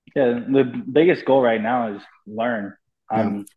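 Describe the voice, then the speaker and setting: In a Californian accent, a man speaks at a fairly slow pace with a medium pitch. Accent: Californian American. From US West Coast, Los Angeles (Pasadena). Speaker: professional baseball player. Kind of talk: interview.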